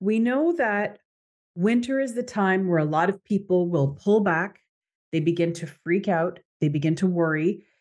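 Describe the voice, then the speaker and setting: The speaker has an American accent and talks at a moderate pace with ordinary pitch variation over a quiet background. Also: woman, medium pitch for a woman. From Canada. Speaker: podcast host and coach. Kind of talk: motivational monologue. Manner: animated.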